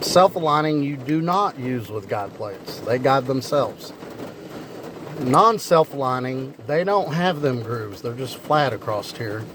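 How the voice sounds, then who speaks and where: A man with a rural Kentucky accent speaks at a fairly high pitch with lively intonation. Noticeable background noise and audible room echo fill the recording. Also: fairly slow pace. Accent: Kentucky rural Southern. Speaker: car mechanic YouTuber. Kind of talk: casual tutorial. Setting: garage, partly outdoors in rain.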